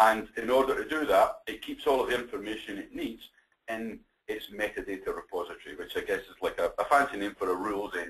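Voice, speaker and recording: This man talks at a very fast pace. His loudness swings widely. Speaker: software account manager presenting a webinar. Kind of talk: presentation. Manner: hesitant, with filler words and repetitions.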